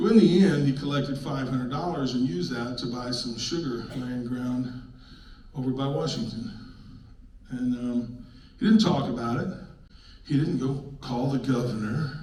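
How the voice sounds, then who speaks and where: Amid audible room echo and noticeable background noise, a man with an American accent speaks at medium pitch and a moderate pace, with ordinary pitch variation and long, frequent pauses. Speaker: local activist presenter. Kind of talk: public presentation. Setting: public meeting with audience. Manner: loud; animated.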